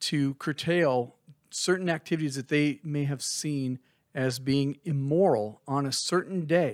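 In a very clean recording with a silent background, a man speaks with an American accent at a fairly high pitch. The sound is dry and close, with no echo. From Minnesota. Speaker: podcast co-host. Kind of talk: casual chat.

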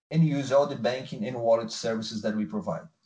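A man speaks in a somewhat breathy voice. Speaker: company CEO. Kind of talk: earnings call presentation and Q&A.

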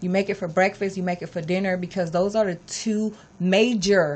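A woman at a medium pitch and moderate pace, fairly even intonation, quiet background. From California, Los Angeles. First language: Spanish. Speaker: fitness coach. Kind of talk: casual chat.

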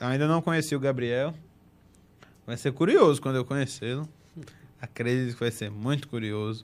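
With long, frequent pauses, a man speaks in a strong northeastern Brazilian accent and ordinary pitch variation. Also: medium pitch for a man, moderate pace. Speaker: football podcast host. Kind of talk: casual chat.

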